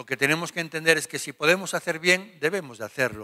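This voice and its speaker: A man's bright, sharp voice against a quiet background. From Spain. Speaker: pastor; preacher. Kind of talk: Bible study. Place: church. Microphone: handheld.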